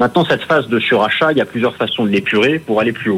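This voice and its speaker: Lively intonation marks this man's medium-pitched delivery. He has an unremarkable speaking voice. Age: 40s. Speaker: independent financial analyst. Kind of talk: market analysis interview.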